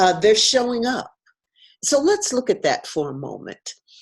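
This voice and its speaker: On a very clean recording with a silent background, a woman speaks with vocal fry and very wide pitch swings. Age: 70s. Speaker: entrepreneur and coach. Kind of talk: conference presentation. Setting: pre-recorded video. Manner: hesitant, many fillers.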